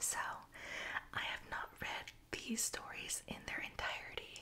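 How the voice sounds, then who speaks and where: A woman whispering at a very slow pace. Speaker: ASMR creator reading Reddit stories. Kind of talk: casual talk to camera intro. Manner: whispered, soft-spoken.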